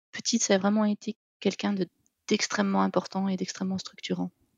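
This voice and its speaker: A woman speaks at a fairly quick pace. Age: 40s. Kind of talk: testimony interview. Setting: remote call. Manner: hesitant, many fillers.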